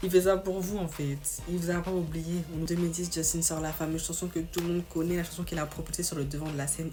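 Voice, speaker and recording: A woman talks at a very fast pace in an animated tone, with audible room echo and noticeable background noise. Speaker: youtuber. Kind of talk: casual storytelling video. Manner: animated, slangy.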